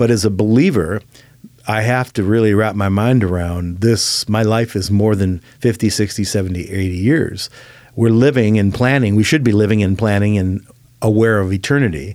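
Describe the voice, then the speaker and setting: An unremarkable speaking voice with an American accent, moderate pace, ordinary pitch variation and very even loudness. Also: man, fairly low pitch for a man. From Chicago. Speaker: pastor. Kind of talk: casual interview. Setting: studio.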